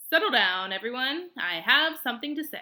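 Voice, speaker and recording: Putting on a character voice, a woman speaks shrilly at a high pitch and a moderate pace. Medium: read story.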